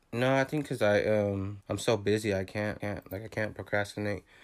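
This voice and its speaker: In an unremarkable speaking voice, a man talks at a fairly low pitch with ordinary pitch variation. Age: 20s. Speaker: videographer. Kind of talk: casual chat.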